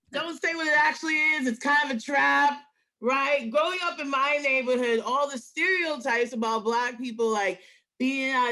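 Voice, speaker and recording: In a New York accent, a woman speaks at a moderate pace in a raised, projected voice, high in pitch and bright and sharp in tone, with ordinary pitch variation. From New York, Queens. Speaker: comedian. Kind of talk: stand-up.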